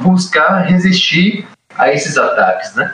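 A man is speaking. His pace is very slow. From Brazil, Itabuna, Bahia. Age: 20s. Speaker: podcast co-host, literature scholar. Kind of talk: interview.

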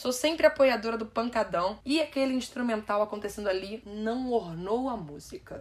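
A woman speaks at a moderate pace with hardly any pauses. Her tone is animated. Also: fairly high pitch for a woman, lively intonation. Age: 20s. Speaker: podcast host. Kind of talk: solo podcast music review.

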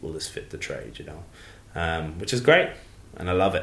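With an Irish accent, a man talks in a very deep, low voice. His intonation is lively. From Ireland, County Carlow. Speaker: drinks brand advocate, former bartender. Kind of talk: casual interview. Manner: hesitant, many fillers.

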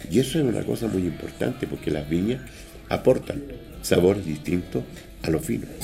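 Over noticeable background noise, a man with a very deep, low pitch talks at a fairly quick pace, his pitch swinging very widely, with long, frequent pauses. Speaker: hotel maître d'. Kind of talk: interview. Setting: mountain hotel, on location.

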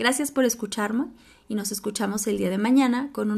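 On a very clean recording with a silent background, a woman speaks with a Mexican accent. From Mexico. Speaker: podcast host. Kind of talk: solo podcast monologue.

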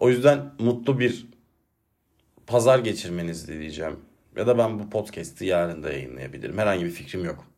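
With very wide pitch swings, big swings in loudness and vocal fry, a man speaks at a fairly low pitch amid audible room echo. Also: moderate pace. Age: 30s. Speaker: solo podcaster and teacher. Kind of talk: personal monologue. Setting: alone at home at a desk. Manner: reflective, calmer than usual.

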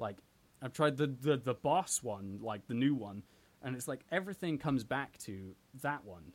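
At a moderate pace and medium pitch, a man speaks with lively intonation and big swings in loudness. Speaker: band member and musician. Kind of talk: casual chat.

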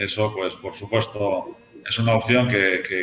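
Against noticeable background noise, a man with a Spanish accent talks at a fairly low pitch in a monotone, flat intonation. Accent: Spanish (Spain). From Spain, Galicia (Santiago de Compostela). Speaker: hotel executive. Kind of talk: interview. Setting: studio.

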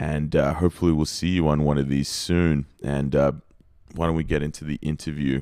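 The voice has an Australian accent, a dark, mellow tone, monotone, flat intonation, and a fairly quick pace. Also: man, very deep, low pitch for a man. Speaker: podcast host. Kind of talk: casual interview; scripted intro and outro.

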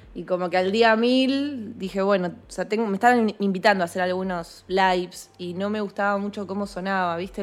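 Speaking at a moderate pace, a woman with a Rioplatense accent holds a medium pitch. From Argentina. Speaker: singer-songwriter. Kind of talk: interview. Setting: remote call. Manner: casual, hesitant.

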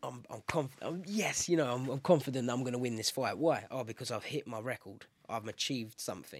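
A man with a British accent at a medium pitch, ordinary pitch variation, a fairly quick pace and hardly any pauses, on a very clean recording with a silent background. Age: 20s. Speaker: MMA fighter. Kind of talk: casual interview.

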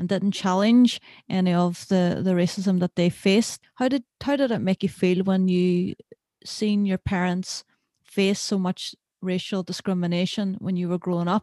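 With a Derry accent, a woman speaks at a moderate pace in a dark, mellow tone with medium pitch and fairly even intonation, the sound dry and close with no echo. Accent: Northern Irish (Derry). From Northern Ireland, Derry. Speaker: podcast host, filmmaker. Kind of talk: interview podcast chat.

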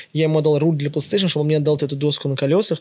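Very fast speech from a man, fairly high in pitch and fairly even in intonation. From Russia, Ivanovo region (Yuryevets). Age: 20s. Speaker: vintage shop owner. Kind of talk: casual chat.

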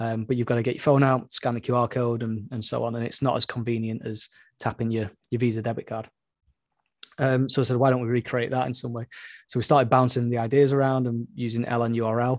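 Very fast and monotone, a man with a medium pitch speaks in a flat intonation on a very clean recording with a silent background. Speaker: Bitcoin company executive. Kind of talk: casual interview chat.

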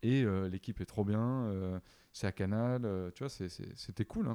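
At a fairly slow pace, a man with a fairly low pitch speaks in a dark, mellow tone with ordinary pitch variation. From southern France (Avignon). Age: 30s. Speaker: video editor and director. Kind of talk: casual interview chat.

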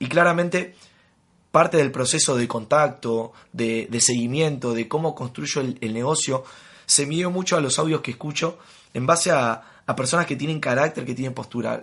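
In a Rioplatense accent, a man talks at a fairly quick pace with a fairly high pitch and ordinary pitch variation against a quiet background. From Argentina. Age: 20s. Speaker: network marketing leader. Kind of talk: interview.

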